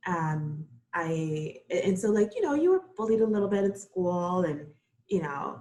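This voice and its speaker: A woman with a Spanish accent speaks at a moderate pace in a medium pitch with ordinary pitch variation. Her tone is dark and mellow and somewhat breathy. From Costa Rica, raised in Brooklyn from age nine. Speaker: floral designer. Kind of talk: interview.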